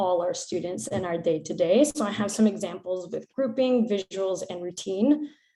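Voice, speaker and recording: A woman speaks in a normal speaking voice at a moderate pace. Her pitch sits in the medium range and varies in an ordinary way. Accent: American. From United States. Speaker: PE teacher. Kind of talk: conference presentation.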